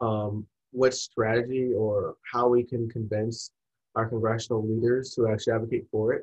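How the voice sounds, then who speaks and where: A man with a medium pitch and a somewhat breathy voice speaks at a moderate pace in fairly even intonation. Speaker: podcast host. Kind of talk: casual interview chat.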